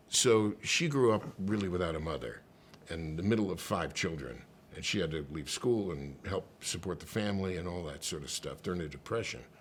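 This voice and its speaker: A man's very deep, low voice with vocal fry and an American accent, at a fairly quick pace with lively intonation. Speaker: actor, comedian, singer, voice over artist, radio host. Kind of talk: casual interview answer, anecdote telling. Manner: animated, conversational, comedic.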